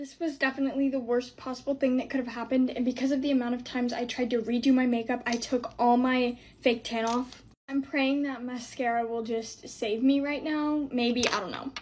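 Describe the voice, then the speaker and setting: A woman's high, flat, monotone voice at a fairly quick pace, with light background noise. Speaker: content creator. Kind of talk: casual vlog. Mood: anxious, flustered. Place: home room. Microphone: phone near.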